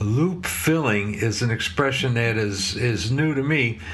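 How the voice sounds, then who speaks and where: Lively intonation in an American accent, with audible room echo and noticeable background noise. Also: man. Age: 60s. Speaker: motorcycle mechanic and video host. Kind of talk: casual commentary. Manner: hesitant, many fillers.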